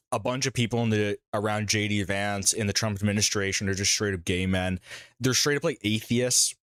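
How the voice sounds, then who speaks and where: Speaking at a fairly quick pace with very even loudness, a man with an unremarkable speaking voice has a fairly low pitch and fairly even intonation, in a dry, close sound with no echo on a very clean recording with a silent background. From Canada. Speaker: live streamer. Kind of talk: live stream reaction commentary. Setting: live stream.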